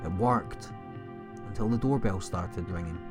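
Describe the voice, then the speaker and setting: The speaker is a man. Music plays in the background. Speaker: horror story narrator. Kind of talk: horror story narration.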